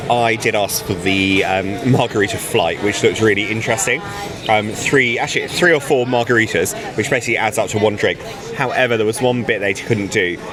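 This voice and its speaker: A man speaks with a British accent at very even loudness. Audible room echo and noticeable background noise surround his voice. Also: medium pitch for a man, ordinary pitch variation, fairly quick pace. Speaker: travel vlogger. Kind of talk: casual vlog narration. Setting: lounge; restaurant. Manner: hesitant with frequent ums; quiet, speaking softly.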